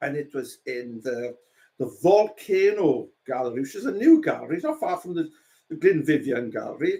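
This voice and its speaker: A man with a South Wales Valleys accent at a moderate pace. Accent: Welsh, South Wales valleys. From South Wales, Rhondda. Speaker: painter. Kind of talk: casual chat.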